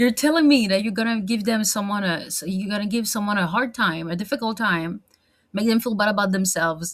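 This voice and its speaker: A woman's somewhat breathy voice sits at a medium pitch, with ordinary pitch variation. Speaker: vlogger. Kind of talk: casual monologue vlog. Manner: hesitant, many fillers and restarts; animated.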